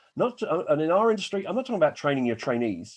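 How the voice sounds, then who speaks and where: An animated man with an English accent, his fairly high pitch swinging very widely, with vocal fry and a quiet background. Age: 60s. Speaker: business coach. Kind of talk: webinar presentation.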